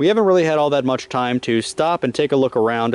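The man's voice shows ordinary pitch variation with a dry sound with no echo. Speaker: travel vlogger. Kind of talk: casual travel vlog commentary. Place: street. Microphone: phone near.

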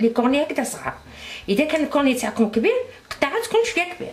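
Someone speaks at a very fast pace with an Algerian accent over light background noise. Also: woman. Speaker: cooking channel host. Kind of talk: cooking tutorial. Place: kitchen. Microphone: camera far.

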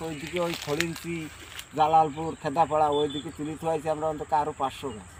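Against noticeable background noise, a man talks with a fairly high-pitched voice. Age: 50s. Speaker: date palm sap collector. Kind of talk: casual interview.

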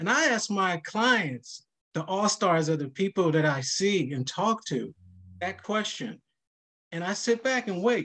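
Against a quiet background, a man talks at a fairly slow pace in a high voice with a bright, sharp tone and lively intonation. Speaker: financial counselor; panelist. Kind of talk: virtual workshop panel. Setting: video call. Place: home room. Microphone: webcam.

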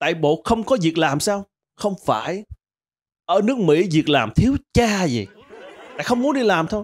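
Very wide pitch swings in a man's speech. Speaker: comedian. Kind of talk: stand-up comedy monologue. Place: studio. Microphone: handheld.

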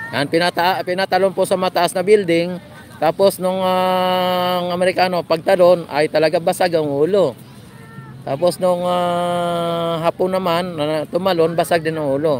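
In a dry sound with no echo and light background noise, a man speaks in a monotone, flat intonation at a fairly slow pace with a high pitch. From Philippines. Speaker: vlogger doing a live stream. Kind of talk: live vlog commentary with passer-by interviews. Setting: outdoors at a beach. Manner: casual, hesitant with many fillers. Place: beach. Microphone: phone near.

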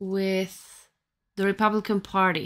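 A woman with a Romanian accent speaks at a very slow pace. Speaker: tarot reader and YouTuber; tarot reader, YouTuber. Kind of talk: tarot reading monologue. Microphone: phone near.

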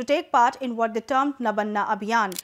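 Her pitch is fairly high, and the woman moves at a fairly quick pace. Pitch variation is ordinary. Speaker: news presenter. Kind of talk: scripted news reading, brisk and formal. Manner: formal; brisk, even-paced. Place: studio. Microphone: lapel.

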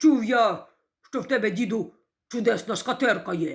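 On a very clean recording with a silent background, a woman growls in a put-on character voice, fairly high in pitch and at a moderate pace. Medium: read story. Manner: haughty, commanding.

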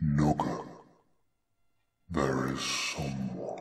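A man's put-on character voice, very deep and low in pitch, with monotone, flat intonation. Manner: slow, ominous.

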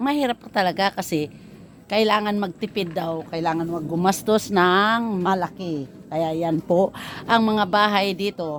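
In an unremarkable speaking voice, a woman at a medium pitch speaks at a fairly slow pace. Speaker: vlogger. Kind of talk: casual vlog narration.

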